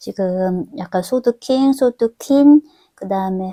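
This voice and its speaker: Her voice sits at medium pitch with a dark, mellow tone, as this woman speaks with lively intonation in a dry, close sound with no echo. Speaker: tarot reader. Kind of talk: tarot reading monologue. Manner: filler-heavy, hesitant ('어').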